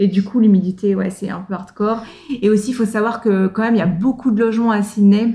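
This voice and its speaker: A woman talks at a fairly quick pace in a monotone voice with flat intonation. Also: medium pitch for a woman. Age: 30s. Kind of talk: casual chat.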